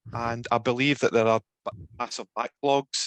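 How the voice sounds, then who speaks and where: In a Glasgow accent, a man speaks at a medium pitch with monotone, flat intonation, in a dry, close sound with no echo. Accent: Glasgow Scottish. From Scotland, Glasgow. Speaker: researcher presenting online. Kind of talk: Q&A after presentation.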